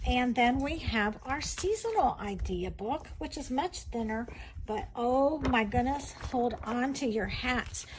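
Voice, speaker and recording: Against noticeable background noise, a woman speaks at a very slow pace. Her pitch is high and her intonation lively. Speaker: direct sales consultant demonstrating crafts. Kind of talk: sales pitch. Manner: animated.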